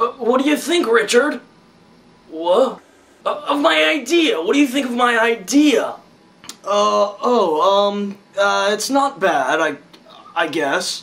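A man's cartoonish character voice, extremely high-pitched, at a fairly slow pace. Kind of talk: comedy puppet show dialogue.

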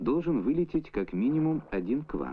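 The pitch swings very widely while the pace stays moderate. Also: man. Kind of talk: 1970s Soviet educational film narration, scripted voice-over. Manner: formal, measured, even-paced and authoritative, with a didactic newsreel-style delivery. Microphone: old recording.

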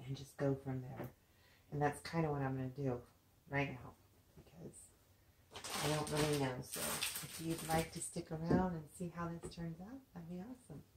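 Against loud background noise, a soft-spoken woman with a very deep, low pitch talks at a moderate pace, with ordinary pitch variation, big swings in loudness, and long, frequent pauses. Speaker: craft video maker. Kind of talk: craft tutorial. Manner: soft-spoken, talks low; casual, hesitant with fillers. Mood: relaxed, friendly. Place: home room. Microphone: camera far.

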